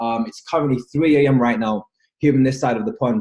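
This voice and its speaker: A man talks at a very fast pace in a dark, mellow tone that is somewhat breathy. His pitch variation is ordinary. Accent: London. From London, England. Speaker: network marketing leader. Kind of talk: webinar training talk. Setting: video call webinar. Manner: animated.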